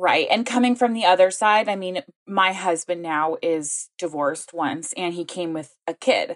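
Speaking at a moderate pace with hardly any pauses, a woman uses a plain, everyday voice at medium pitch, with ordinary pitch variation and a dry, close sound with no echo. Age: 20s. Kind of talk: casual chat.

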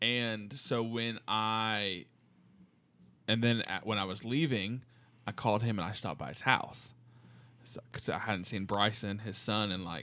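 A man's fairly slow delivery with fairly even intonation and long, frequent pauses, on a very clean recording with a silent background. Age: 20s. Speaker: podcast co-host, teacher. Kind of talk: casual chat.

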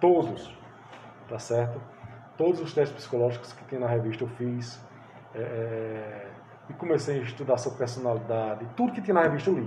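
Amid noticeable background noise and audible room echo, a man of medium pitch speaks at a moderate pace with ordinary pitch variation and long, frequent pauses. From Pernambuco, Brazil (Sertânia, rural). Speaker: psychoanalyst and teacher. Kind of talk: interview.

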